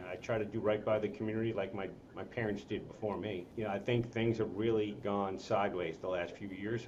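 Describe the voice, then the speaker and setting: A man's very fast speech at a fairly low pitch with an American accent, ordinary pitch variation, audible room echo, and noticeable background noise. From New York City, Queens (Rockaway). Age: 60s. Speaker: congressional candidate. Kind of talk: interview.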